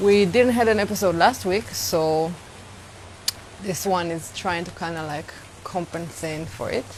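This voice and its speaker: Fairly slow speech with long, frequent pauses, ordinary pitch variation, big swings in loudness and noticeable background noise. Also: woman, fairly low pitch for a woman. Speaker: travel vlogger. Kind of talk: casual live stream talk to camera. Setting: outdoors, windy.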